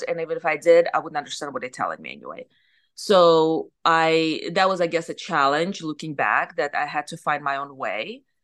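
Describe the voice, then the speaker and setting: With a Russian accent, a woman speaks at a fairly low pitch and with fairly even intonation over a quiet background. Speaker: surgeon and business owner. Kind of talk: interview.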